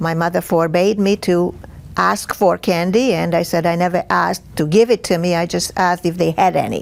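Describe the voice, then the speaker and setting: A woman speaks in a Hungarian accent at a moderate pace. Her pitch is fairly low and her intonation fairly even. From Hungary, Budapest. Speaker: Holocaust survivor. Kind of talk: testimony. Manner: halting, many fillers.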